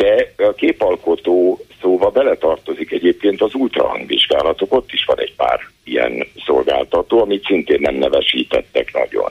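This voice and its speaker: Speaking at a moderate pace with hardly any pauses, a man keeps his loudness very even. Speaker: healthcare policy expert. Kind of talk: phone-in interview.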